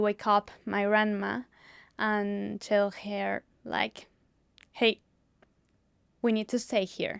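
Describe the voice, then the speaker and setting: A woman with a Spanish accent speaks very slowly at a fairly high pitch, with long, frequent pauses, on a very clean recording with a silent background and dry, close sound with no echo. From Mexico, Mexico City. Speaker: politician and activist. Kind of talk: interview. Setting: studio.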